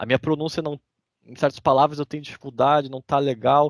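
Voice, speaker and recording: A man with a southern Brazilian accent at a very fast pace and fairly high pitch, dry and close with no echo, on a very clean recording with a silent background. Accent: southern Brazilian (gaúcho) Portuguese. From Brazil, interior of Rio Grande do Sul. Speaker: immigrant sharing his story. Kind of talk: casual podcast interview.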